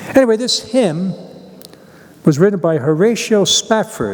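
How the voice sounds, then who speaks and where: A man speaks over noticeable background noise. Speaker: priest. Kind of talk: homily; reading aloud.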